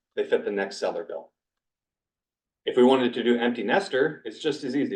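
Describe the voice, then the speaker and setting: Fairly quick delivery from a man, medium in pitch, with ordinary pitch variation. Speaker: title company presenter to real estate agents. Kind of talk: training presentation. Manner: fast.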